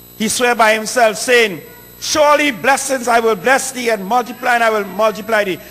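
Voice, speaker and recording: Speaking with a Trinidadian accent, a man uses a raised, projected voice at an extremely high pitch, with ordinary pitch variation. His pace is fairly quick, over noticeable background noise. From Trinidad (south). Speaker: preacher. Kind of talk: sermon.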